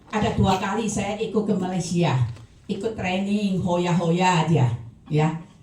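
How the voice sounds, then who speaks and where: Over noticeable background noise and audible room echo, a woman speaks at a very slow pace. Her pitch is medium and her intonation lively. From Taiwan. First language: Chinese (Taiwan) (speaking Indonesian). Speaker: product user giving testimony. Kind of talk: testimony.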